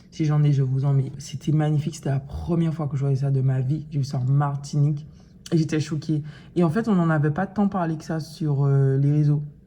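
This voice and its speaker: The voice is somewhat breathy and dark, mellow in tone, with fairly even intonation. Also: woman, very deep, low pitch for a woman. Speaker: vlogger. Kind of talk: casual vlog talk to camera. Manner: hesitant, many fillers.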